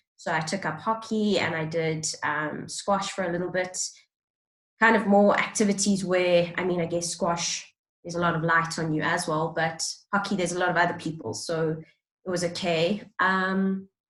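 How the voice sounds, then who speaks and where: A woman with a South African accent, fairly low pitch, fairly even intonation and a moderate pace. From South Africa, Johannesburg. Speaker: role-play client. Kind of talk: counseling intake interview. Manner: hesitant, many fillers.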